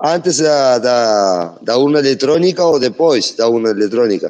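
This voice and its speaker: A man speaks very slowly at a medium pitch, his dark, mellow tone carried by lively intonation. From Uruguay, Brazilian border. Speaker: audience participant. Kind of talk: question from the audience. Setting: online audio room. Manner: halting.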